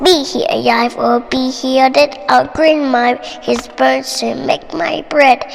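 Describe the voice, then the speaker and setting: Through clear background noise, a woman does a raspy, put-on character voice at a fairly slow pace. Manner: booming.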